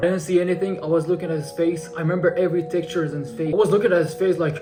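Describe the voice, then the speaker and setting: A man's fairly high voice at a very fast pace, with noticeable background noise. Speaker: comedic storyteller. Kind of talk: comedic storytelling monologue. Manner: animated.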